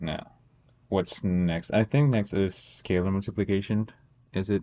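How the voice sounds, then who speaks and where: At a fairly slow pace, a man with a non-native accent talks in a fairly low pitch and with fairly even intonation. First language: not English. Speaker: student streamer. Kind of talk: study-with-me tutorial. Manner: casual, thinking aloud.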